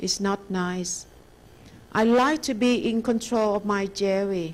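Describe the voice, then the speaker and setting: A woman talks very slowly with a Thai accent. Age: 60s. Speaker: meditation teacher. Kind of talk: dharma lecture; guided meditation. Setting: lecture hall with audience.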